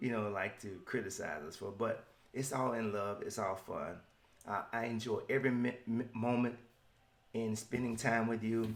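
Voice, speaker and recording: With a Southern US accent, a man talks at medium pitch and a moderate pace. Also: fairly even intonation. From US South. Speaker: motivational podcaster. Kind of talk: motivational podcast monologue.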